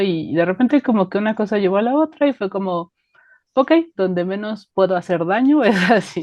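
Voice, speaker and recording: A woman speaks with a central Mexican accent at a moderate pace. Her intonation is lively. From Mexico, Estado de México. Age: 30s. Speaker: life coach. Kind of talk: casual interview chat.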